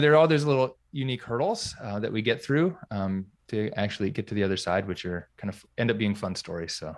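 A man with an American accent and a plain, everyday voice, medium in pitch, with lively intonation, hardly any pauses, and a quiet background. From US South, North Carolina. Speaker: physical therapist and business coach. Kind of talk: interview.

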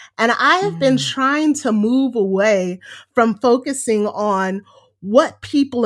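Animated delivery with lively intonation at a fairly slow pace. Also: woman. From US West Coast, Los Angeles. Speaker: educator and performer. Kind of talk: interview conversation.

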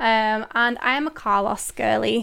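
This is a woman speaking. She has a Mancunian accent. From northern England, Manchester. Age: 20s. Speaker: podcast host. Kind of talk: casual solo Q&A chat. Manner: animated.

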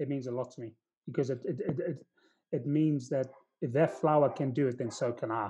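Somewhat breathy with a dark, mellow tone, a man speaks at medium pitch and a fairly quick pace with fairly even intonation. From South Africa. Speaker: recruiter. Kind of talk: casual chat. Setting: video call.

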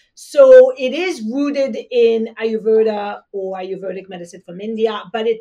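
A woman with a French accent speaks fairly slowly in a fairly high pitch and a dark, mellow tone, with ordinary pitch variation. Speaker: traditional Chinese medicine practitioner. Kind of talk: podcast interview.

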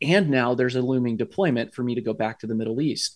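A man speaks with an American accent at a medium pitch. His pitch varies in an ordinary way. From US Midwest (Columbus, Ohio). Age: 40s. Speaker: army chaplain and veteran. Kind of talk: casual interview conversation.

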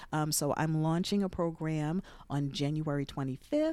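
In a very clean recording with a silent background, a woman with an American accent speaks in a very deep, low pitch, with a dark, mellow tone and fairly even intonation. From US, Jersey City, New Jersey. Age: 50s. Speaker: podcast host and former radio personality. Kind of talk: casual interview.

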